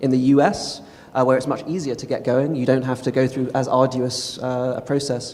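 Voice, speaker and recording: Over noticeable background noise, a man with a London accent speaks at a fairly quick pace in a medium pitch with monotone, flat intonation. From England, London. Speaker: tech company policy executive. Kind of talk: panel discussion answers.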